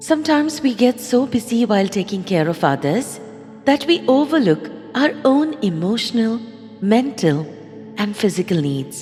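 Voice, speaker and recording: Soothing, calm tone from a woman at fairly high pitch, with very wide pitch swings and music in the background. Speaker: voice-over narrator. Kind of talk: guided affirmation meditation. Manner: soothing, calm, slow.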